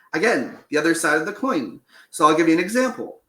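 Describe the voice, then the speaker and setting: A man speaks in a raised, projected voice. His tone is bright and sharp, and his intonation is lively. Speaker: transgender man sharing experiences. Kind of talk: interview conversation. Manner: hesitant, many fillers.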